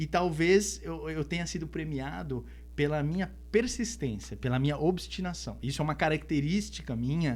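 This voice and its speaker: Hardly any pauses break a man's speech, which keeps to a moderate pace. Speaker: singer-songwriter. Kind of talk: podcast interview.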